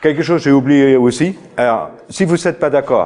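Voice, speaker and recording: A man speaks with a fairly high pitch and a dark, mellow tone. His intonation is lively. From outside France. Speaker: farmer and trainer. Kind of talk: lecture. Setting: stage with audience. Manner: halting. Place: meeting room.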